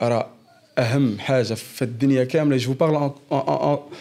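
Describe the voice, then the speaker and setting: A man speaks at a very slow pace with a dark, mellow tone. His pitch is medium and his intonation fairly even. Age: 20s. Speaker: engineer and former prisoner sharing his story. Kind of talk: personal testimony in casual interview.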